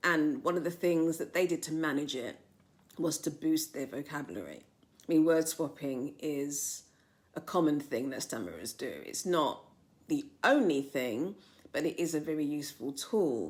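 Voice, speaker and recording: A woman speaks with a London accent and a very deep, low pitch. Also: ordinary pitch variation, moderate pace. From south London, England. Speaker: novelist. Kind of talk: personal testimony to camera. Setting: filmed on camera. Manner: some hesitations and repeated words.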